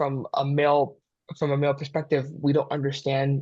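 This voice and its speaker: A man's voice, fairly high in pitch. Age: young. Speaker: mental health therapist. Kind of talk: casual chat. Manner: halting, repeats words.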